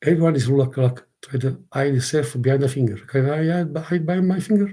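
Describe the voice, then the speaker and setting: Somewhat breathy and dark, mellow in tone, the voice moves at a fairly quick pace with ordinary pitch variation. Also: man. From southern Italy, Naples. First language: Italian. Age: 60s. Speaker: content creator. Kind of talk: casual livestream monologue. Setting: live stream. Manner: halting, repetitive.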